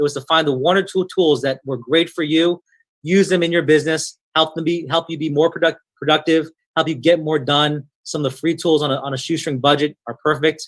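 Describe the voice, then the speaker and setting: This man talks at a fairly quick pace, his pitch fairly high. He has an unremarkable speaking voice. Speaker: online seminar presenter. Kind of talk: webinar presentation.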